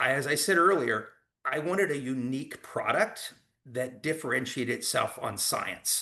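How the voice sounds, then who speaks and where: A man speaks at a moderate pace with a fairly high pitch and a bright, sharp tone. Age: 60s. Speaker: direct sales executive. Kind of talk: sales pitch. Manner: hesitant fillers.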